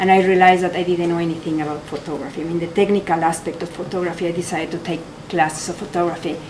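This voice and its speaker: A woman with a fairly low pitch speaks at a very fast pace in a monotone, flat voice, with audible room echo and noticeable background noise. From Mexico. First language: Spanish. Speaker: photographer. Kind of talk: artist talk. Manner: halting.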